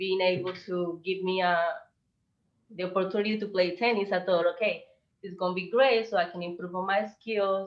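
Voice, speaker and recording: In a Spanish accent, a woman speaks with monotone, flat intonation. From Colombia. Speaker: visual artist. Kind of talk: presentation.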